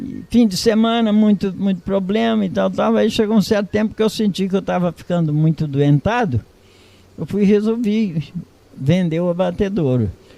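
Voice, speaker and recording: A man speaks with a high pitch and a dark, mellow tone. His intonation is lively. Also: moderate pace. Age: 80s+. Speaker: retired farmer. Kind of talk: oral history interview.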